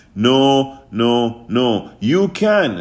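An upbeat, warm tone with ordinary pitch variation. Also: man. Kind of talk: radio sales pitch. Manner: upbeat, warm, pitchman-style urging with repeated calls to action; emphatic, gushing with repeated thank-yous.

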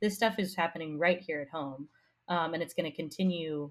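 In an unremarkable speaking voice, a woman talks at a moderate pace with an American accent, fairly low pitch and ordinary pitch variation, captured on a very clean recording against a silent background. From Colorado. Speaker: podcast guest. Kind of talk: political discussion podcast.

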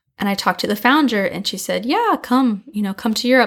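A woman with a Californian accent talks at a very fast pace. Her pitch varies in an ordinary way. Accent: Californian American. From San Diego, California. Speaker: community manager. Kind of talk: interview.

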